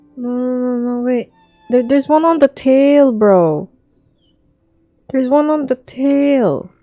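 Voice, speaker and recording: A woman's high pitch with ordinary pitch variation, a very slow pace with long, frequent pauses, and music in the background. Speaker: streamer playing a video game. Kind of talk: casual gameplay commentary. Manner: sleepy; soft-spoken.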